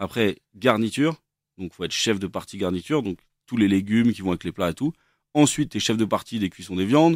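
A man with a fairly low pitch speaks at a fairly quick pace with lively intonation, in a plain, everyday voice. The sound is dry and close with no echo, on a very clean recording with a silent background. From France, Versailles. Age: 30s. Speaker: chef. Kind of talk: casual chat.

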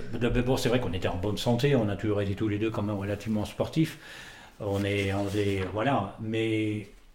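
Amid noticeable background noise and audible room echo, a man talks at medium pitch and a moderate pace. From France. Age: 60s. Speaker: winemaker, former business lawyer. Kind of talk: interview. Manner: halting, repeats words.

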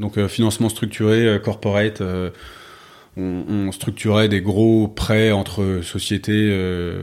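The man's voice sits at a fairly low pitch, with monotone, flat intonation. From France, Paris. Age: 40s. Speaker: startup co-founder. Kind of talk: interview. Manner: halting, many fillers.

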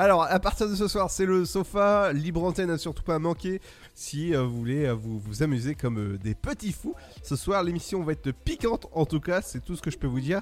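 A man speaks at a moderate pace with a fairly high pitch and very wide pitch swings. Music plays in the background. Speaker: radio host. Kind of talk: radio dj patter. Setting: studio. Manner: upbeat, chatty, punchy radio-jingle energy.

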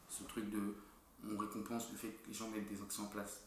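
There is audible room echo around the speaker. A man talks at a fairly low pitch. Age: 20s. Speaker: entrepreneur. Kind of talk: casual chat.

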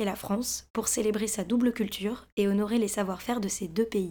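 Talking at a fairly quick pace, a woman has a fairly high pitch, a dark, mellow tone and fairly even intonation. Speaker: podcast host. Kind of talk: scripted narration.

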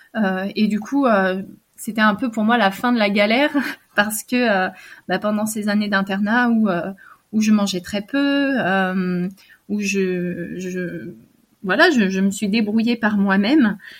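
A woman's somewhat breathy, medium-pitched voice with ordinary pitch variation, a very slow pace and long, frequent pauses, on a very clean recording with a silent background. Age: 30s. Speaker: abuse survivor. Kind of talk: testimony. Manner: halting.

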